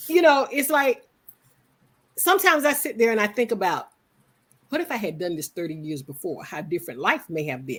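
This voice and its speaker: Against a silent background in a very clean recording, a woman with a fairly high pitch and vocal fry talks at a fairly quick pace, her pitch swinging very widely, with long, frequent pauses. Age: 60s. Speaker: businesswoman, network member. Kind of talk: interview.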